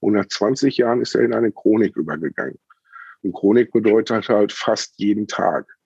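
Vocal fry runs through this man's voice. He talks at a moderate pace. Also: fairly low pitch for a man, ordinary pitch variation. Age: 40s. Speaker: chronic pain patient and cannabis medicine advisor. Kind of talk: interview testimony.

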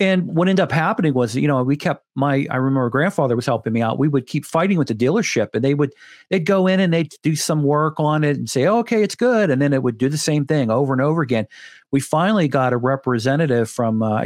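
Fairly high-pitched male voice with an American accent, very fast pace, lively intonation, and very even loudness on a very clean recording with a silent background. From Pittsburgh, Pennsylvania. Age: 50s. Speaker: coatings podcast host. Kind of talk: casual chat.

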